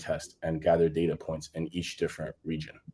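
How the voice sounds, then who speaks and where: A man speaks in a dark, mellow tone with a very deep, low pitch. The background is quiet. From Congo. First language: French and Lingala. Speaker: gaming startup founder. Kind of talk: panel discussion.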